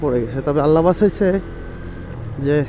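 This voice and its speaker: There is noticeable background noise. Over it, a man speaks with ordinary pitch variation. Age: 30s. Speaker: travel vlogger. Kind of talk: vlog narration.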